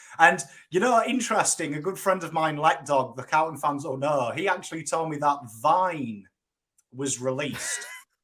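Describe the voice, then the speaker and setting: With an English accent, this man talks at a moderate pace in a fairly high pitch, his tone bright and sharp and his intonation lively. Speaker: football YouTuber. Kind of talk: casual chat.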